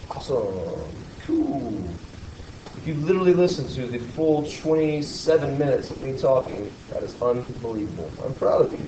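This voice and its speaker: Against noticeable background noise and audible room echo, a man speaks with big swings in loudness. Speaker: math teacher. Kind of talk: lecture; casual chat. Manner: fast.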